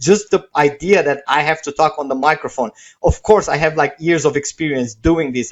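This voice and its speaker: A man speaks at a moderate pace with a fairly high pitch. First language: not English. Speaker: webinar presenter selling software. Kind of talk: sales pitch. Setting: live stream webinar. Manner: casual, with many fillers.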